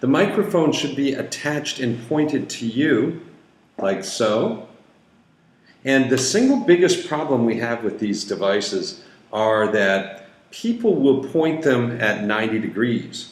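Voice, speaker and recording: A man's medium-pitched voice with lively intonation, a fairly slow pace and audible room echo. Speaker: company founder demonstrating equipment. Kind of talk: tutorial.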